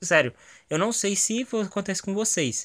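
A man talks at a moderate pace with a high pitch. The recording is very clean, with a silent background. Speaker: gaming YouTuber giving movie review. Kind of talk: casual video review monologue. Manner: animated.

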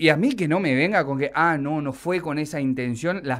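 Against a quiet background, a man talks at a fairly quick pace in an angry tone with lively intonation. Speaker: radio host. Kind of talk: indignant radio rant. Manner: angry, sarcastic, emphatic. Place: studio.

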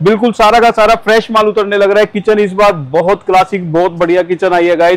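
At a fairly quick pace, a man speaks in a high voice with fairly even intonation. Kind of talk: promotional walkthrough talk. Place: factory.

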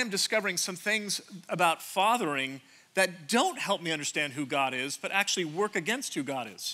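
Raised and projected, a man's voice carries a high pitch and a bright, sharp tone, with lively intonation at a moderate pace. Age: 50s. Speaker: pastor. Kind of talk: sermon. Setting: church stage with audience. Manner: animated.

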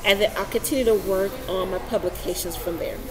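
There is noticeable background noise behind a woman speaking with an American accent. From Texas. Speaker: vlogger and healthcare worker; vlogger. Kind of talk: vlog commentary. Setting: outdoors on a university campus. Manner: halting. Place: hall. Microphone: webcam.

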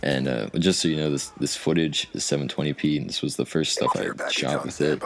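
A man with a very deep, low voice talks at a fairly quick pace and fairly even intonation, against noticeable background noise. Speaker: gaming video creator. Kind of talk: casual talk to camera. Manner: hesitant, stuttering, repeats words; frequent filler 'you know'.

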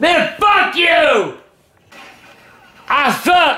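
A man's extremely high-pitched voice, bright and sharp in tone, with big pitch swings and a very slow pace.

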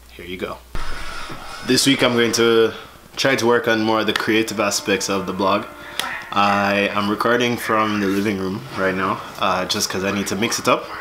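A man speaks at a moderate pace in a fairly low voice. Noticeable background noise sits behind him. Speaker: vlogger. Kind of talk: casual talk to camera. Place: home room. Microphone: phone near.

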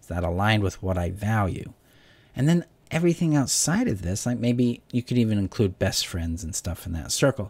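A man talks at a fairly quick pace, his voice somewhat breathy. His intonation is lively and his loudness swings widely. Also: fairly low pitch for a man. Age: 40s. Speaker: relationship coach. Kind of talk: self-help talk. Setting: home video recording. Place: home room. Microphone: studio mic.

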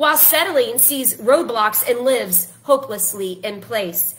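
Over light background noise, a woman with a high pitch speaks at a very slow pace with lively intonation. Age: 40s. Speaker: life coach and author. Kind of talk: casual social media live video. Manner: animated.

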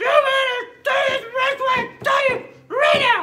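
Someone shouts in a put-on character voice at an extremely high pitch and a moderate pace. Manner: stern, commanding.

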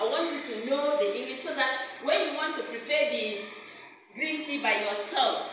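Moderate pace, with strong room echo and noticeable background noise. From Nigeria. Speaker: ESL teacher. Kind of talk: classroom lesson. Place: classroom. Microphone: phone near.

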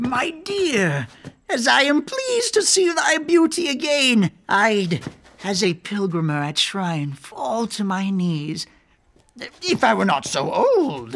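Pitch swings very widely throughout this fairly slow-paced speech. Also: man, high pitch for a man. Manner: feigned frail old man.

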